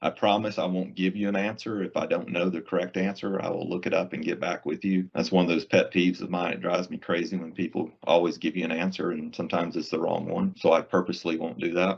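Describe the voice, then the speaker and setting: A man's very deep, low voice in a Southern US accent, very fast with hardly any pauses and fairly even intonation. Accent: Southern US accent, noticeable. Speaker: IT solutions presales engineer. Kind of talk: webinar presentation. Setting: online webinar in Microsoft Teams. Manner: casual, conversational.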